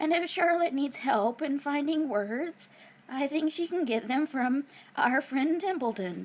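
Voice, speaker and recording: Putting on a character voice, a woman speaks high in pitch at a fairly slow pace. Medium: read story. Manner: deliberate, persuasive.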